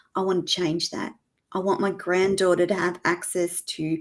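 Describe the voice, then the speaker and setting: The woman's middle-pitched voice comes through a very clean recording with total silence behind it. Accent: Australian. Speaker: former nurse turned media host. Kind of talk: interview. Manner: animated.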